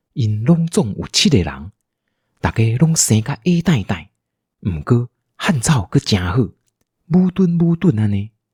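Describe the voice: A man speaks at a fairly slow pace and a medium pitch, his dark, mellow tone carrying a husky, rough edge as his pitch swings widely. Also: very clean recording, silent background.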